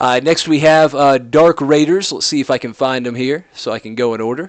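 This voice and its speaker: With an American accent, a man talks at a fairly high pitch with ordinary pitch variation. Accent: southern drawl, comes out sometimes. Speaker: esports commentator. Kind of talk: live commentary.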